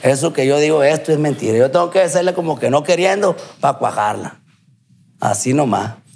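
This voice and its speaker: A man with an ordinary speaking voice, fairly high in pitch, at a fairly quick pace with lively intonation. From Culiacán, Sinaloa, Mexico. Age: 30s. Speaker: recovering addict, former amateur footballer. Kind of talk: testimony.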